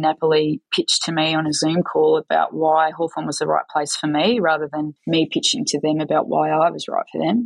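With an Australian accent, the voice moves at a moderate pace in a dry, close sound with no echo. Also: woman. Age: 40s. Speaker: football coach. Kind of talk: interview.

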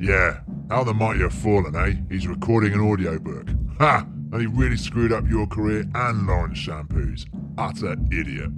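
Loud background noise behind a man's very deep, low pitch at a moderate pace. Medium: comedy sketch. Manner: menacing, sneering, bossy.

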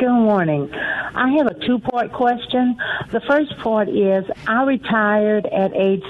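A woman talks at a very slow pace with lively intonation over noticeable background noise. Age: 60s. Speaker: caller. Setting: phone call.

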